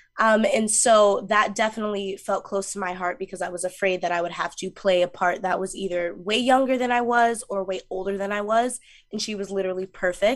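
Against a quiet background, a woman with an American accent speaks in a plain, everyday voice of medium pitch, moving at a fairly quick pace with hardly any pauses and fairly even intonation. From New York, Mount Vernon. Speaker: musical theater actress. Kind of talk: interview.

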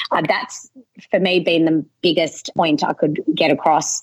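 With an Australian accent, a woman talks at a moderate pace in a fairly low pitch. The sound is dry and close, with no echo. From western Sydney, Australia. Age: 30s. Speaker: local business owner. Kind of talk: interview.

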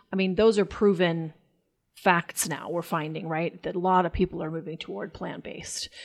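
A plain, everyday voice speaks at a moderate pace with fairly even intonation, recorded very cleanly against a silent background. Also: woman. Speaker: podcast co-host and chef. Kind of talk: casual podcast interview.

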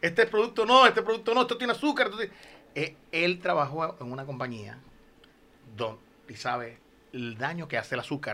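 A man speaks at a very fast pace in a fairly high voice. His tone is bright and sharp, and his pitch swings very widely. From Venezuela, Lagunillas, Zulia. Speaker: podcast co-host, musician. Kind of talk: casual chat. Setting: studio.

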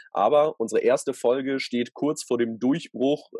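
A man's medium-pitched voice with a dark, mellow tone at a moderate pace. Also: dry, close sound with no echo. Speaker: podcast co-host, youth camp leader. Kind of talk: casual chat.

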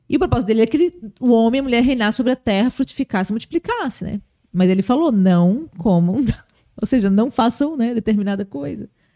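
A woman speaks very fast in a fairly high pitch, her tone dark and mellow. The sound is dry and close, with no echo. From Blumenau, Santa Catarina, southern Brazil. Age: 30s. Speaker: pastor. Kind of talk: casual interview.

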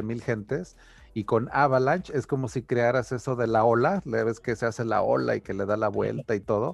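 Vocal fry runs through this man's medium-pitched voice. He talks at a moderate pace with ordinary pitch variation. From Mexico, Taxco (Guerrero). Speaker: crypto podcast host. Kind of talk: casual chat. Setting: video call.

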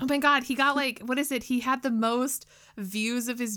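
A woman talks at a fairly quick pace in an animated tone. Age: 30s. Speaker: podcast co-host. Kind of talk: casual chat.

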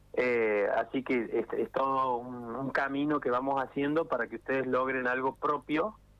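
Speaking at a fairly slow pace, a man uses a medium pitch with fairly even intonation. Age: 30s. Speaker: bartending instructor. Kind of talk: radio interview. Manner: halting, with repetitions.

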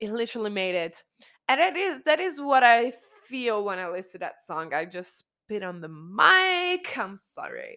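On a very clean recording with a silent background, a woman speaks at a moderate pace in an animated, bright, sharp voice of fairly high pitch, with very wide pitch swings and big swings in loudness. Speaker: podcast host. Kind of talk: casual monologue. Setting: home recording with microphone. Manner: halting.

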